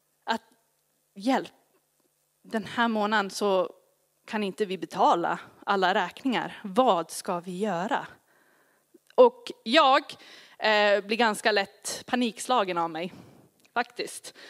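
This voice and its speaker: With an English accent, a woman speaks at a medium pitch and a very slow pace, leaving long, frequent pauses and showing ordinary pitch variation. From grew up partly in Asia in a missionary family. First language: English (speaking Swedish). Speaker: pastor. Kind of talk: sermon.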